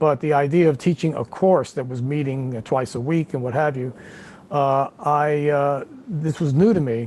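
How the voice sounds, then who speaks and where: A man's fairly high pitch, ordinary pitch variation and moderate pace. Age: 60s. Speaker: guitarist and music teacher. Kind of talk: interview conversation. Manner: halting, many fillers and repeats.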